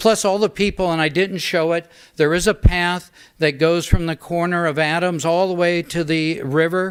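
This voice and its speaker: Speaking at a moderate pace with an American accent, a man with a high pitch keeps his intonation fairly even on a very clean recording with a silent background. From Northern California, St. Helena. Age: 60s. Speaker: public commenter at council meeting. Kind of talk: public comment. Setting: city council meeting.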